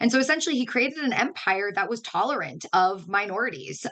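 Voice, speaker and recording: A woman talks very fast. Noticeable background noise is present. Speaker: educator. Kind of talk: webinar lecture. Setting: online webinar.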